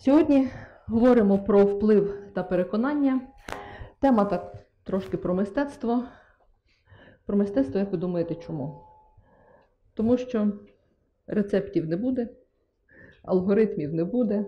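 The speaker goes at a fairly slow pace. Long pauses come often. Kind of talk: lecture. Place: hall. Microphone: headset.

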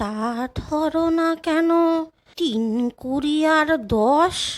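A put-on character voice drawls along at a very slow pace. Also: woman, high pitch for a woman, ordinary pitch variation. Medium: read story. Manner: plaintive, rustic.

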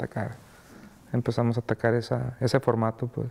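The man's voice has a dark, mellow tone and monotone, flat intonation. He talks at a fairly quick pace. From Mexico. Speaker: music label founder; interviewee. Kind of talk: interview; interview answer. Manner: halting, many fillers and repeats. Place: studio.

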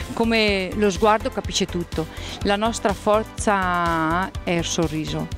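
Clear music plays in the background as a woman speaks with ordinary pitch variation in a dry sound with no echo. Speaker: interview guest. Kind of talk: interview answer. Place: studio. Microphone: handheld.

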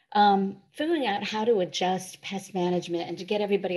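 A woman at a fairly quick pace, with a dark, mellow tone and ordinary pitch variation. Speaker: presenter. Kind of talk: webinar presentation. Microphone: video call.

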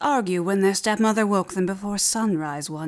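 The pitch moves with ordinary variation. The delivery is a natural reading voice.

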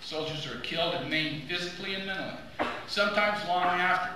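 In a recording with strong room echo and noticeable background noise, a man talks at a fairly quick pace with ordinary pitch variation. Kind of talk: formal speech. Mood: solemn, earnest. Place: hall. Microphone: podium.

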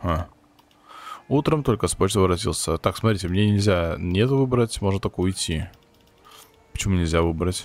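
Very deep and low, a man's voice keeps very even loudness at a moderate pace, with ordinary pitch variation and long, frequent pauses. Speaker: gaming youtuber. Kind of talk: let's play commentary.

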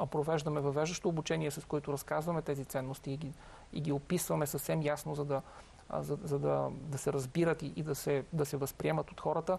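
Somewhat breathy and fairly high in pitch, a man speaks at a fairly quick pace. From Bulgaria. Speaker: company founder; guest. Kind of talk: interview. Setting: studio. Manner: halting, many fillers and repetitions. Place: studio.

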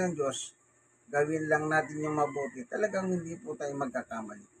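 Against noticeable background noise, a man speaks in a fairly high pitch with ordinary pitch variation. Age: 60s. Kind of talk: casual bible talk and news commentary. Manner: halting.

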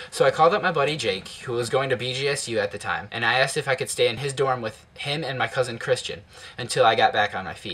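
At a very fast pace, a man talks. His voice sits at medium pitch with ordinary pitch variation. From Ohio, Toledo; Ohio. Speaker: YouTuber. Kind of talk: personal narration. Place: home room. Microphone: webcam.

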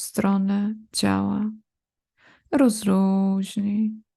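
Somewhat breathy and medium in pitch, a woman speaks at a very slow pace in a calm, soothing tone. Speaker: yoga nidra teacher. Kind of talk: guided meditation (yoga nidra relaxation). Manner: slow, calm, soothing, with long pauses between body parts; repetitive, gentle commands: 'rozluźnij' repeated.

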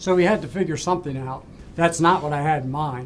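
Fairly quick and with ordinary pitch variation, a man talks over light background noise. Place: office.

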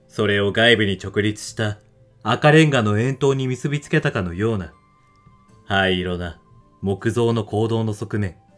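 Over music in the background, a man's fairly low voice moves at a fairly slow pace with ordinary pitch variation. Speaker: audiobook narrator / reader of classic literature. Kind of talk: literary reading (rōdoku) of a novel, audiobook style.

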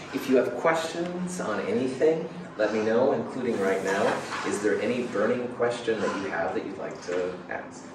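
Noticeable background noise and audible room echo around a man speaking at a moderate pace. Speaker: college chemistry instructor. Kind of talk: lecture. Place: classroom. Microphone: camera far.

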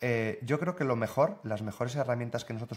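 A man talks with fairly even intonation. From northern Spain. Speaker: software developer and content creator; content creator. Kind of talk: casual interview. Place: home room.

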